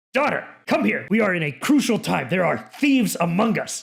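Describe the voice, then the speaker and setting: Using a put-on character voice, a man speaks at a high pitch and a moderate pace with very wide pitch swings. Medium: actual play. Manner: commanding, peremptory.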